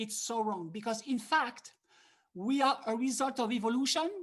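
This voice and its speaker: Somewhat breathy and fairly high-pitched, a woman speaks with a French accent. She keeps a moderate pace. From France. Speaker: harmonica teacher. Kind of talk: online masterclass. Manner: animated.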